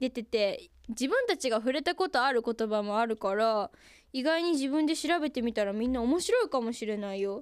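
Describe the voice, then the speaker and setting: A woman speaks with a high pitch and lively intonation in an animated tone, at a moderate pace. The recording is very clean, with a silent background. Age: young. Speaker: radio personality and idol. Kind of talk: casual radio talk.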